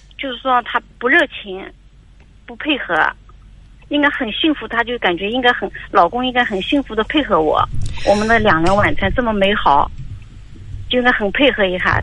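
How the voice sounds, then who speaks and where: The speaker goes at a moderate pace with lively intonation and long, frequent pauses. Background noise is noticeable. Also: woman, fairly high pitch for a woman. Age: 50s. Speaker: caller, mother-in-law seeking advice. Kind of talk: call-in advice conversation. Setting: phone call. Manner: halting, repetitive.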